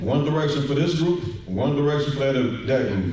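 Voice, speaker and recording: Strong room echo surrounds speech at a moderate pace. Pitch variation is ordinary, with light background noise. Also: man. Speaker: deacon teaching a scripture lesson. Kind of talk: sermon-style bible lesson. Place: church.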